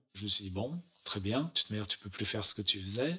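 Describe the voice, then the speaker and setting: This man's voice sits fairly low in pitch and has a bright, sharp tone. He talks at a moderate pace. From France, Chamonix, Haute-Savoie. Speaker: interviewee sharing life story. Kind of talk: testimony. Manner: hesitant, many filler sounds.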